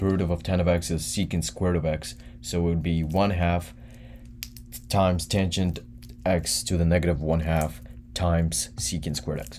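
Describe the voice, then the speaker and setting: Long, frequent pauses break up a man's moderate pace. His voice is very deep and low, with ordinary pitch variation. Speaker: student tutor streaming an exam review. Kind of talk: live-stream tutorial answering chat. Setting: live stream. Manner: casual, slangy.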